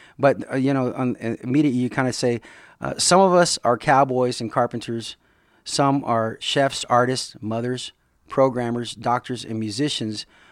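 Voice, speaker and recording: A man uses a plain, everyday voice at medium pitch with fairly even intonation and a moderate pace. The recording is very clean with a silent background. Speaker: podcast host. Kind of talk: casual interview chat.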